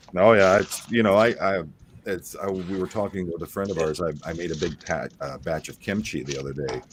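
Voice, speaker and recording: This man has an American accent and a very deep, low pitch. He speaks at a fairly quick pace with ordinary pitch variation. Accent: Appalachian, once thick, toned down. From Ohio, Appalachian Kentucky roots. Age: 50s. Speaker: former police officer, stream host. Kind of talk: casual chat.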